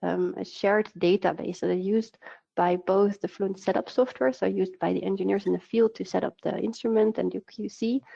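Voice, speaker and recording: This woman's pitch is medium. She talks fairly quickly. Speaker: product manager. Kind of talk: webinar presentation. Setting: online webinar. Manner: fast; hesitant with fillers.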